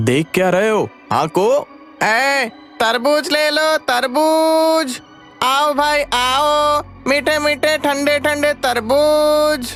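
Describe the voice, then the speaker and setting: A man performs a cartoonish character voice at a very slow pace. Music is clearly heard behind him. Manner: loud hawker calling.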